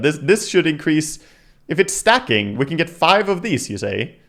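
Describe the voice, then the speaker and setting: Speaking at a moderate pace with a non-native accent, a man's voice makes very wide pitch swings in a very clean recording with a silent background. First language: not English. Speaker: gaming streamer. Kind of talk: livestream commentary reading patch notes. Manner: animated.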